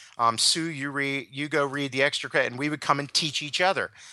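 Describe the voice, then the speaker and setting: A man speaks at a moderate pace with an American accent and a bright, sharp tone. His intonation is monotone and flat over a quiet background. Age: 50s. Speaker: leadership consultant. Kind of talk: interview.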